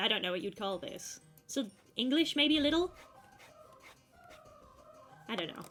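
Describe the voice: Putting on a nasal character voice, a woman speaks at a fairly high pitch with very wide pitch swings at a moderate pace, faint music playing in the background.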